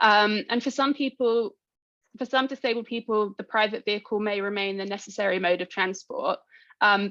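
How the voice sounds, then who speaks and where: In a British accent, a woman talks at a fairly quick pace with medium pitch, the sound dry and close with no echo. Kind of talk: conference talk. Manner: fast.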